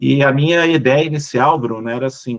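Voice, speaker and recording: Moderate pace in a Minas Gerais accent, with a dry, close sound and no echo. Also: man. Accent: Minas Gerais (mineiro) Brazilian Portuguese. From Brazil, Minas Gerais. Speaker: business executive. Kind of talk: casual interview chat.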